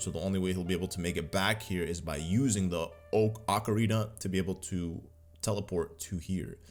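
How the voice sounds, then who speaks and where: Music plays in the background as a man speaks in a very deep, low voice. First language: Arabic. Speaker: gaming YouTuber. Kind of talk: gameplay commentary. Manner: animated.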